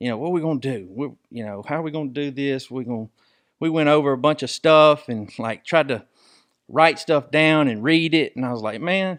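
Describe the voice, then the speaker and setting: Over a quiet background, a man with an American accent talks at a fairly high pitch. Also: ordinary pitch variation, fairly quick pace. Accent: southern rural, self-described redneck. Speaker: sports podcast host. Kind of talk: casual chat. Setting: studio. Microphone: studio mics and headphones.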